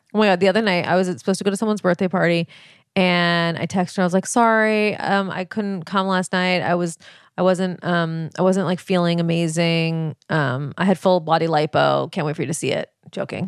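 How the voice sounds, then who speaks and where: Dry and close with no echo, this recording features a woman with an ordinary speaking voice and a fairly low pitch. She talks at a fairly quick pace with fairly even intonation. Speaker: podcast co-host. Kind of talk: casual chat. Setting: home office.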